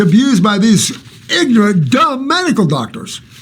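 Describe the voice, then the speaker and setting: Against noticeable background noise and audible room echo, a man with a high pitch speaks at a fairly slow pace with very wide pitch swings. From Alaska. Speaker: naturopathic health advisor. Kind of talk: live Q&A answering viewer questions. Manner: animated.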